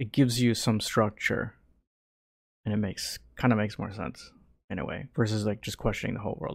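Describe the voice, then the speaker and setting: A man's fairly low voice at a fairly quick pace, with ordinary pitch variation and long, frequent pauses. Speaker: podcast co-host. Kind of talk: casual chat.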